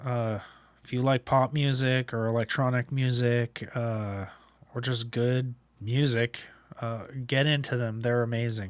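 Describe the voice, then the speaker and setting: In a monotone, flat delivery, a man speaks at a fairly slow pace. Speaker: podcast host. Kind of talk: casual monologue. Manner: hesitant, many fillers.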